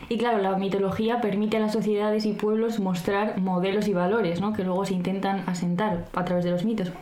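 A woman speaks fairly quickly at medium pitch, with monotone, flat intonation, very even loudness and hardly any pauses. Noticeable background noise and audible room echo fill the recording. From Spain, La Rioja (Arnedillo). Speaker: podcast co-host. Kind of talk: casual chat with scripted segments.

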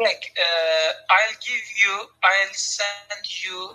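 With music in the background, a man speaks at a high pitch in a non-native accent. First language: not English. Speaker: chat room owner. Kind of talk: casual chat. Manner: halting.

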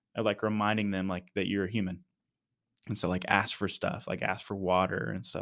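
A man with an American accent speaks fairly quickly in a normal speaking voice, with a fairly low pitch and ordinary pitch variation. The recording is very clean with a silent background. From Texas, Dallas-Fort Worth area. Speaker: church missions leader. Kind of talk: casual interview.

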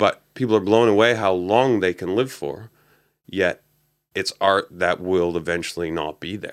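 In a Canadian accent, a man with a fairly low pitch uses a normal speaking voice, ordinary pitch variation and a moderate pace. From Canada. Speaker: bonsai nursery owner. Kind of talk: casual interview. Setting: studio.

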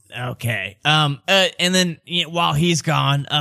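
This put-on character voice sounds nasal. It has lively intonation and a fairly slow pace. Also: man. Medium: actual play. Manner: folksy, overly chummy.

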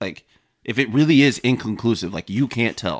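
A man talks at a fairly quick pace. He has a Southern US accent. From Savannah, Georgia. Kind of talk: casual chat. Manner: animated.

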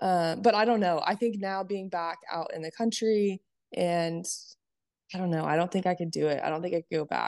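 A woman with an unremarkable speaking voice talks at a moderate pace with ordinary pitch variation against a quiet background. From California. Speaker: podcast host. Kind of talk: casual interview chat.

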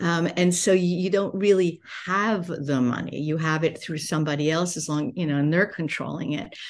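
In an American accent, a woman with a plain, everyday voice and fairly low pitch speaks at a moderate pace, showing ordinary pitch variation and hardly any pauses. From United States. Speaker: business coach and entrepreneur. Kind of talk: podcast interview.

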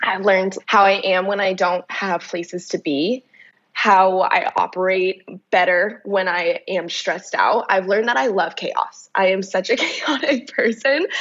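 A woman with ordinary pitch variation and an ordinary speaking voice. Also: medium pitch for a woman, fairly slow pace. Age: 20s. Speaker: personal trainer and fitness entrepreneur. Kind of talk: casual chat.

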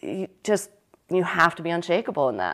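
The recording is very clean, with a silent background. A woman speaks in an ordinary speaking voice at a moderate pace, her pitch fairly low with ordinary variation. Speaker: fashion designer and illustrator, business founder. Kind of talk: casual interview chat.

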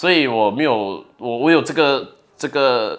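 On a very clean recording with a silent background, the voice moves with lively intonation. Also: man. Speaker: content creator. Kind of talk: interview.

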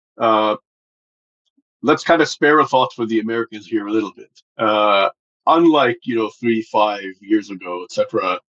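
Using a medium pitch and ordinary pitch variation, a man with a Lebanese accent talks at a moderate pace with long, frequent pauses and big swings in loudness, in a dry, close sound with no echo. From Lebanon. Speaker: think tank director and Middle East analyst. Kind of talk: expert analysis in interview.

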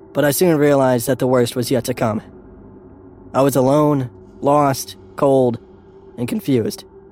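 Against music in the background, the dramatic delivery moves at a moderate pace with ordinary pitch variation and long, frequent pauses. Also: man. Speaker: narrator of a scary story. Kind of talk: ghost story telling, first-person spooky narration. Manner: dramatic, with fear and dread building.

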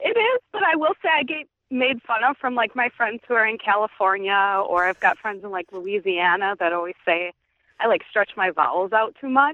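With a Wisconsin accent, a woman with a fairly high pitch talks at a moderate pace and with lively intonation. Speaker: listener caller. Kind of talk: casual chat. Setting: phone call.

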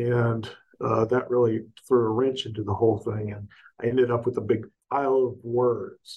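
A somewhat breathy man with an American accent talks at a moderate pace in a monotone, flat intonation. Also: medium pitch for a man. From US South, Augusta, Georgia. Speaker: professor and author. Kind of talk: interview. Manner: halting, many fillers.

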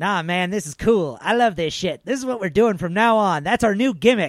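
A man's squeaky, high-pitched put-on character voice at a moderate pace. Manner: casual, enthusiastic.

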